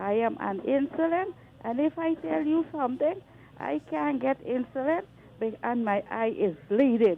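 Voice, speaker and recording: Here a woman speaks with a high pitch. Her pitch swings very widely. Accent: Guyanese. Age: 60s. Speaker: caller. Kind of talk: radio call-in complaint. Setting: phone call.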